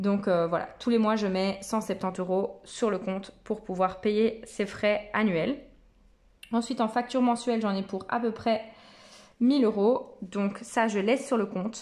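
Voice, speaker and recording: This woman's voice sits at a fairly high pitch, moving at a fairly slow pace with fairly even intonation. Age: 30s. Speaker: personal finance vlogger. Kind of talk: casual tutorial vlog. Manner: hesitant, many fillers.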